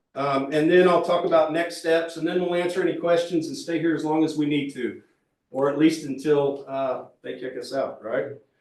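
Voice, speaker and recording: Speech at a moderate pace with fairly even intonation carries audible room echo. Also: man, fairly high pitch for a man. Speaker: transportation planning consultant. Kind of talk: public meeting presentation. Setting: public meeting room with audience, also online. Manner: loud.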